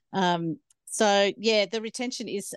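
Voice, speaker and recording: Over a quiet background, a woman with an Australian accent speaks with ordinary pitch variation in a dry, close sound with no echo. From Australia, Snowy Mountains, New South Wales. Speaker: farmer and ag trainer. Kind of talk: interview.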